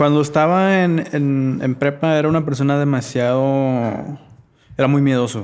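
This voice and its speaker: A man speaks in a plain, everyday voice at a fairly high pitch. He goes at a fairly slow pace with very even loudness. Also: fairly even intonation. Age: 30s. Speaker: podcast guest, churchgoer. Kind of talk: casual chat.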